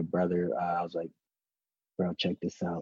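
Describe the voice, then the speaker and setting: A man talks at a fairly quick pace in a Southern California accent, his pitch very deep and low. The delivery is monotone and flat, with a dry, close sound and no echo. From Los Angeles, California (Wilmington, San Pedro). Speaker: author and public speaker, former gang member. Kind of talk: interview conversation.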